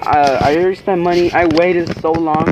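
Noticeable background noise surrounds a man speaking at a high pitch. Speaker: carnivorous plant vlogger. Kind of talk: angry rant over a ruined plant unboxing, swearing and venting. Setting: home video, camera vlog. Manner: outraged, agitated, rapid and exasperated. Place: garden. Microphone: phone near.

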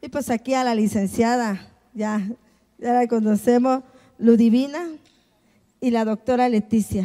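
Against a quiet background, a woman speaks at a fairly slow pace with long, frequent pauses, her fairly high pitch held in fairly even intonation. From Tapachula, Chiapas, Mexico; Chiapas, Mexico. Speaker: politician and panel moderator; politician, panel moderator. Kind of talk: panel moderation and personal testimony. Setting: symposium panel with audience. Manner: halting, repetitive. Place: hall. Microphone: handheld.

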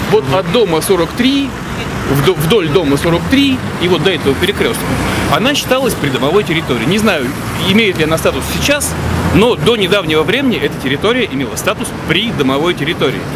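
A man at a fairly quick pace, dry with no echo, under loud background noise. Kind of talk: interview answer. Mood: indignant, arguing a point. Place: street. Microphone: phone near.

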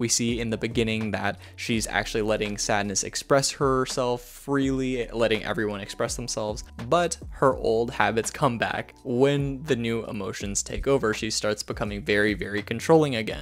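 Over faint music in the background, a man speaks at a moderate pace with ordinary pitch variation. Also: hardly any pauses. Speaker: film reviewer. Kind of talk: commentary. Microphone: handheld.

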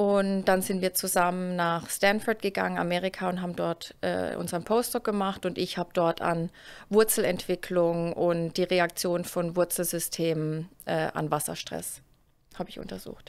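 At a moderate pace, a woman talks with a fairly low pitch and fairly even intonation. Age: 30s. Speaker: plant biologist, research group leader. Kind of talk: casual interview chat. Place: office. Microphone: studio mic.

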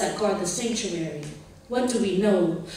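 Strong room echo surrounds a woman speaking at a fairly quick pace with ordinary pitch variation. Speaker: military cadet. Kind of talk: spoken word poetry performance. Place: hall.

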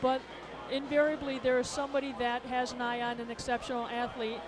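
Noticeable background noise sits behind a woman with a high pitch. She talks at a fairly quick pace with monotone, flat intonation. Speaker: sports association administrator. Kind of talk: interview. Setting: arena broadcast booth. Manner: halting.

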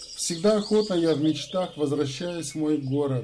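A man's fairly high-pitched voice, fairly slow, with ordinary pitch variation and noticeable background noise. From Kazakhstan, Karazhal. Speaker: YouTube channel host. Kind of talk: casual address to viewers; reading poetry aloud.

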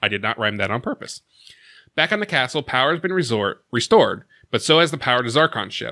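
Talking very fast with very wide pitch swings, a man sounds bright and sharp against a quiet background. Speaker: recap host. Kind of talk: episode recap narration. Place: home room. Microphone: studio mic.

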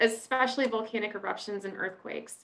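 Here a woman is speaking. Her pitch varies in an ordinary way. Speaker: online event host. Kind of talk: introduction for a webinar. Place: home room. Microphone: webcam.

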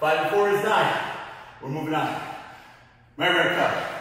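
Strong room echo surrounds the voice. A man speaks at a fairly slow pace. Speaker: fitness instructor. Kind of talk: workout instruction. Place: gym.

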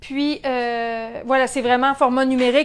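This woman has a Quebec accent and a high voice. She talks at a moderate pace with fairly even intonation. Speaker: sewing shop owner; sewing instructor. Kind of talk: tutorial. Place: workshop. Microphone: lapel.

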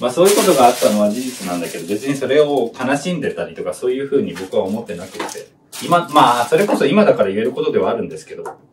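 Over light background noise, a man speaks at a very fast pace with big swings in loudness. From Japan. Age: 20s. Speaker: YouTuber. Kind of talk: personal story while cooking. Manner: halting, many fillers. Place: kitchen. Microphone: camera far.

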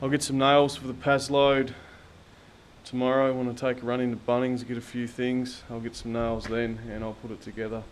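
Light background noise sits behind a man's voice. He keeps a moderate pace with fairly even intonation. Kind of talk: casual vlog chat. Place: workshop. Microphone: phone near.

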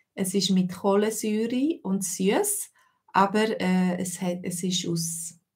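In a slightly mellow tone, a woman speaks slowly at medium pitch with fairly even intonation.

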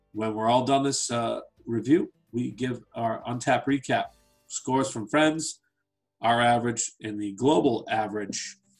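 Fairly even intonation at a moderate pace, with faint music in the background. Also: man. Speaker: beer reviewer co-host. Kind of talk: casual review chat. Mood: relaxed, joking. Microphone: video call.

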